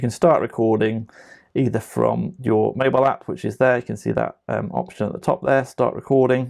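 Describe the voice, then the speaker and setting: Against a quiet background, a man mumbles at a fairly quick pace. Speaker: tech trainer; software trainer. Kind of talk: tutorial. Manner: mumbling; casual, with many fillers. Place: home room.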